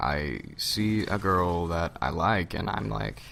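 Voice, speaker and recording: A man's very deep, low pitch with audible room echo. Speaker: gaming commentator. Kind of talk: gameplay commentary. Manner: rambling, halting.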